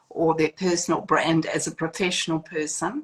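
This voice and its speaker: A woman speaks in a fairly low pitch with a New Zealand accent. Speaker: etiquette school founder. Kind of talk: interview. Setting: video call. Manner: hesitant with many fillers.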